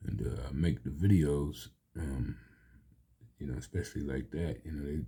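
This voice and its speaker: A man's very deep, low voice with vocal fry, a dark, mellow tone, fairly even intonation and a moderate pace. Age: 60s. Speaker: amateur video creator and poet. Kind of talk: casual monologue.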